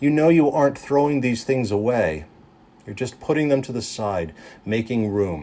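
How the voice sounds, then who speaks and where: Here is a man with an ordinary speaking voice at a medium pitch. His intonation is lively. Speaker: preacher giving a sermon. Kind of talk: guided meditation sermon. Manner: calm, slow, gentle.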